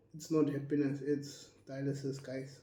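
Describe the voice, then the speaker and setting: A man with a fairly high pitch at a fairly slow pace, with audible room echo. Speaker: health educator and dialysis patient. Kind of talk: casual educational monologue. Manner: halting.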